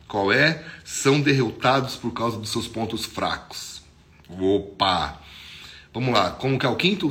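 The voice has a bright, sharp tone, ordinary pitch variation and a fairly slow pace, with audible room echo. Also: man. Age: 40s. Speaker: pastor. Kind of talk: devotional sermon. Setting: social media video. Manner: casual, conversational.

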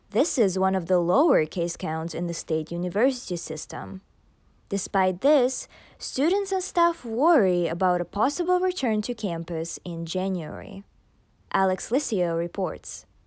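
With a plain, everyday voice, a woman speaks at a moderate pace and medium pitch, her intonation lively. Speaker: news anchor. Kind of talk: formal newsreading. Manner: formal, crisp newsreader delivery.

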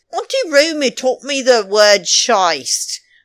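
A woman's voice with vocal fry, in a very clean recording with a silent background. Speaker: podcast host. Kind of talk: casual chat, recapping reality TV. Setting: pre-recorded, New York City. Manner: chatty, rambling, playful.

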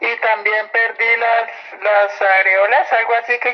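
A woman's intonation stays fairly even. Behind her, music can be heard. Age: 40s. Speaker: former soldier, interviewee. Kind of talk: testimony.

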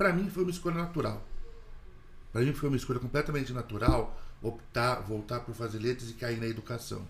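A man talks at a very fast pace with lively intonation and a medium pitch. His voice is somewhat breathy. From Mogi das Cruzes, São Paulo state, Brazil. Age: 40s. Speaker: Portuguese teacher. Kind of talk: casual chat.

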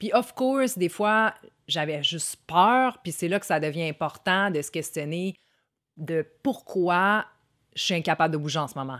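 A woman with a fairly low-pitched voice speaks at a fairly slow pace with lively intonation. The recording is very clean, with a silent background. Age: 30s. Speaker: content creator. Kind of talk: self-help monologue. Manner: casual.

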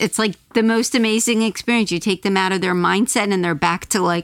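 A woman talks at a fairly quick pace with ordinary pitch variation, in a normal speaking voice. The sound is dry and close with no echo, on a very clean recording with a silent background. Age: 50s. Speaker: former teacher. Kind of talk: casual chat.

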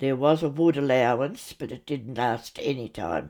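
A woman with an Australian accent speaks at a very deep, low pitch and a moderate pace. Her tone is dark and mellow, with vocal fry. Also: very clean recording, silent background. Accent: Australian, older generation. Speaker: grandmother recounting childhood memories. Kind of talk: storytelling memoir, recounting memories.

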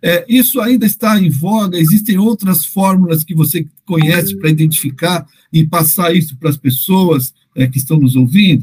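A man's high voice at a moderate pace, with lively intonation. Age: 50s. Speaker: podcast host on parenting education. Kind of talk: interview. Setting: podcast. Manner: hesitant, repeats words.

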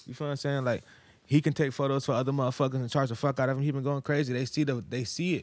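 Over a very clean, silent background, a man talks at a very fast pace with fairly even intonation and fairly high pitch. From Virginia. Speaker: rapper. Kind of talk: casual chat. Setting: studio.

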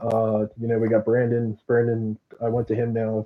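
A man talks with an American accent. His pitch is medium and his pace fairly slow. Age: 20s. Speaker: sprint car driver. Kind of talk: interview.

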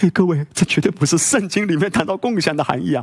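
This man speaks at a high pitch. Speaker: pastor. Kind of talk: sermon. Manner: animated.

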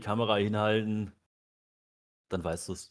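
The recording is very clean, with a silent background. A man speaks at a fairly low pitch in a monotone, flat intonation. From rural Germany. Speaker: podcast co-host. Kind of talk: casual chat.

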